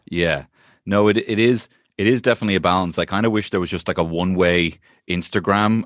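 Speaking fairly quickly with fairly even intonation, a man with an Irish accent is heard over a quiet background. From Ireland. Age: 30s. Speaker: comedian. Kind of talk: casual chat.

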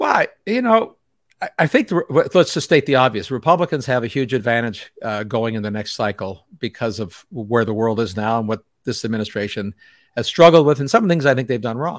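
With an ordinary speaking voice, a man talks at a fairly quick pace and medium pitch, the sound dry and close with no echo. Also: lively intonation, very clean recording, silent background. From Canada. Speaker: physicist and energy writer. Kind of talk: interview. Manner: laughs often.

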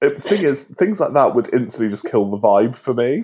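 Using lively intonation, a man with a British accent talks at a medium pitch. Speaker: podcast co-host. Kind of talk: casual chat.

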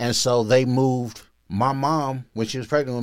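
A man speaks at a moderate pace with a medium pitch and an American accent, in a very clean recording with a silent background. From US Midwest, north Omaha, Nebraska. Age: 40s. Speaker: former prisoner. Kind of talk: casual chat.

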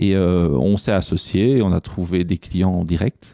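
A man's very deep, low pitch carries a dark, mellow tone, with a dry, close sound that has no echo. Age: 40s. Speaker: IT entrepreneur. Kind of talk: interview conversation. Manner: hesitant, many fillers.

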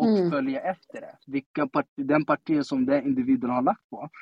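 Speaking at a moderate pace with ordinary pitch variation, a man uses an ordinary speaking voice. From Sweden, Stockholm (Tensta). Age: 30s. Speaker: politician. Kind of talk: casual interview. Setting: live audio room (Clubhouse).

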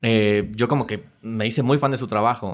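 A man talks in a plain, everyday voice, at medium pitch with ordinary pitch variation. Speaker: musical theatre actor. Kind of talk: casual chat.

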